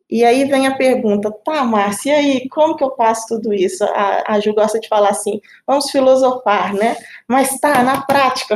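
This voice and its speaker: A woman talks at a moderate pace. Her pitch is high, with ordinary variation. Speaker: team leader. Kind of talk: casual panel conversation.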